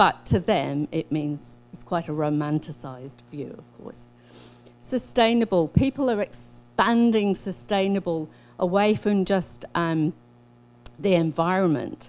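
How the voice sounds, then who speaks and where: With a New Zealand accent, a woman speaks fairly slowly at a fairly low pitch, her intonation lively and her loudness swinging widely. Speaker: social scientist. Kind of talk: conference presentation. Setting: workshop talk, online and in person.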